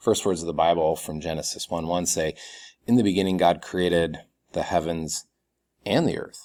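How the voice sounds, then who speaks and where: On a very clean recording with a silent background, a man with a very deep, low voice speaks with fairly even intonation and long, frequent pauses. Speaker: college instructor. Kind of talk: recorded video lecture. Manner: fast.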